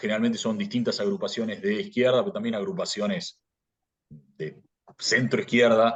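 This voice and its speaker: With a Rioplatense accent, a man talks at medium pitch and a moderate pace, with very wide pitch swings and long, frequent pauses. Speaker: philosophy graduate. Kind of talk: interview. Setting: podcast. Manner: halting, many repetitions and fillers; casual storytelling.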